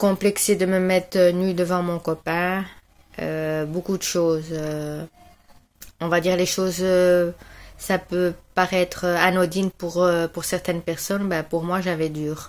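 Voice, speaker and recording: A woman talks at a very slow pace and a fairly low pitch. Her intonation is monotone and flat. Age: 40s. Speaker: client giving a testimonial. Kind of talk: testimony. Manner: hesitant, many filler sounds.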